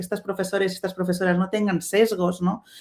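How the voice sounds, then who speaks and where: The speaker has a Catalan accent. The pace is fairly quick. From Spain, Catalonia. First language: Catalan (speaking Spanish). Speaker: webinar panelist, STEM diversity advocate. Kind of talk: webinar panel talk. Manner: halting, many fillers and restarts.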